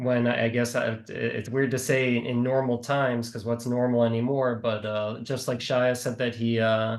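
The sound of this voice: A man speaks with a Midwestern American accent at a moderate pace. His pitch barely moves, and he pauses only a few times. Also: medium pitch for a man.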